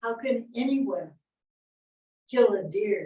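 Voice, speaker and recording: Slow to a great degree, a woman's somewhat breathy voice with a dark, mellow tone sits at a fairly high pitch, with ordinary pitch variation and an American accent. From Oklahoma, Ponca Nation. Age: 70s. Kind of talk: panel talk.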